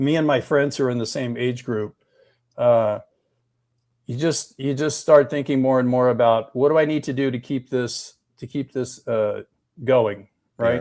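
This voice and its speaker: At a moderate pace with long, frequent pauses, a man speaks at a medium pitch with fairly even intonation. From United States. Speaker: rideshare industry guest. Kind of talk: casual chat. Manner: halting.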